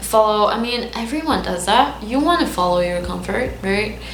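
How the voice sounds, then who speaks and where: A woman is speaking with music in the background. The room echo is audible. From Lebanon. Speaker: vlogger. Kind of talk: casual vlog monologue. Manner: halting, unscripted.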